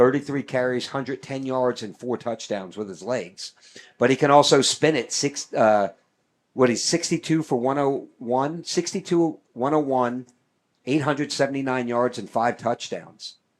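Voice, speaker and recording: With an American accent, a man talks at medium pitch with ordinary pitch variation. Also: very clean recording, silent background. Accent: New York accent, comes back quickly. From New York. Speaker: sports play-by-play announcer. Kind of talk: live commentary. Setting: broadcast booth at stadium.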